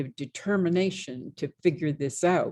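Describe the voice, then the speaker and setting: The sound is dry and close, with no echo. A woman speaks at a moderate pace. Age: 80s. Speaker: visual artist. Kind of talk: interview. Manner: halting, many repeated words.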